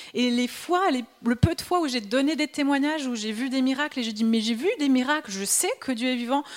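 High-pitched woman's voice with music in the background. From Switzerland. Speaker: preacher. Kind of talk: sermon.

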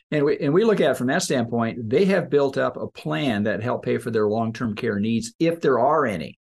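The delivery runs at a moderate pace with hardly any pauses. Intonation is lively, and vocal fry comes through. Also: man, medium pitch for a man. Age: 60s. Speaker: financial planner and show host. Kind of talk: casual chat.

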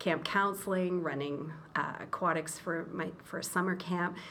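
With a Canadian accent, a woman speaks at a fairly slow pace and a fairly low pitch, with audible room echo and noticeable background noise. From Eastern Ontario, Canada. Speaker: school association executive director. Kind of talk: interview.

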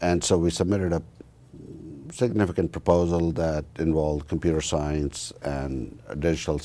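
A man with a very deep, low voice and a dark, mellow tone speaks in fairly even intonation, taking long, frequent pauses. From northern India. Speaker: university research administrator. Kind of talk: interview.

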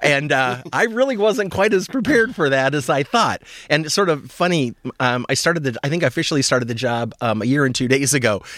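With an American accent, a man speaks at a very fast pace in a fairly high pitch. His intonation is lively and his loudness very even. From Nebraska. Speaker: food bank chief executive. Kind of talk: radio interview. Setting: radio studio.

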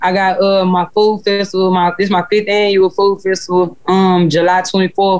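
A woman with a Houston accent speaks in a flat monotone at a medium pitch and a moderate pace. Her loudness stays very even, and she hardly pauses. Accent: Southern US, Houston. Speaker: rapper. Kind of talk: casual interview chat.

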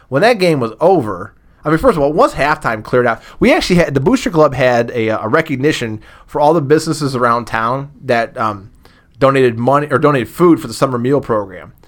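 A man with a fairly high voice and an American accent, talking at a very fast pace. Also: ordinary pitch variation. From Massillon, Ohio. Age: 40s. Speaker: former booster club president. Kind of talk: casual interview chat.

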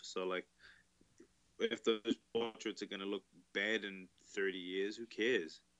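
A monotone, flat delivery in a New Zealand accent. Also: man. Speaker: tattoo artist. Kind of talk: casual interview chat.

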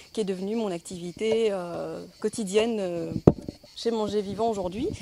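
A woman speaks at a medium pitch and a fairly slow pace, her intonation fairly even. Noticeable background noise runs underneath. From Belgium (Brussels). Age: 40s. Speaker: nutrition coach and blogger. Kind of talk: testimony.

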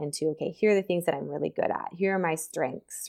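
A woman speaks with an American accent and fairly even intonation. The recording is very clean, with a silent background. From Nebraska, US Midwest. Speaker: sports psychologist. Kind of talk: interview conversation.

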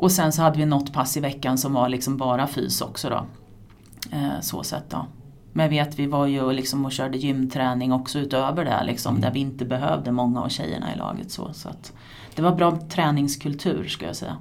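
A woman's very deep, low voice at a moderate pace, ordinary pitch variation, noticeable background noise and audible room echo. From Sweden, Askersund (Närke). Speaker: former floorball player and coach, teacher. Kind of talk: casual interview. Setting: at her workplace, a school.

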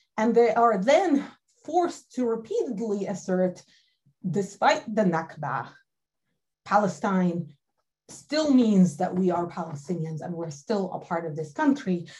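This woman talks fairly slowly at a medium pitch, her voice somewhat breathy. Her pitch swings very widely, and she takes long, frequent pauses. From Galilee, northern Israel. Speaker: history professor. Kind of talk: panel discussion.

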